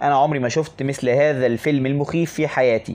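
A man's fairly high-pitched voice in an Egyptian accent, at a moderate pace. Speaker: English teacher. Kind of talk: tutorial.

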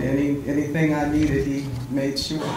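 Audible room echo and light background noise surround the voice. A woman speaks at a very deep, low pitch and a moderate pace in a monotone, flat way. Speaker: keynote speaker. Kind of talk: speech with thanks to the audience. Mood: warm, grateful, light laughter. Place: hall.

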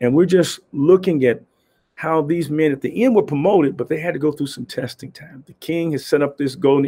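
A man speaks at a very fast pace with ordinary pitch variation. His tone is dark and mellow. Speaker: pastor or preacher. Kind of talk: devotional sermon talk. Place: office. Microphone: webcam.

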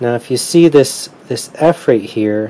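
A man at a fairly slow pace, with light background noise. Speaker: ham radio hobbyist. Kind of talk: tutorial. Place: home room.

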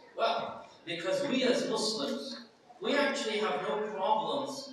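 In a room with strong echo, a man speaks at a fairly slow pace with lively intonation. Light background noise is present. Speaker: lecturer at convention. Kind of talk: lecture. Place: hall.

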